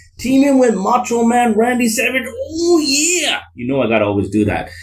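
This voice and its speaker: An extremely high-pitched man sounds enthusiastic and energetic, talking at a moderate pace over noticeable background noise. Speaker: wrestling commentary YouTuber. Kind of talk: wrestling history commentary narration. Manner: enthusiastic, energetic.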